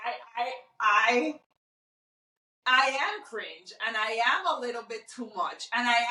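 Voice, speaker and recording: Loud, bright, and sharp, a woman's high-pitched voice moves at a very slow pace. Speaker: podcast co-host. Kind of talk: casual chat.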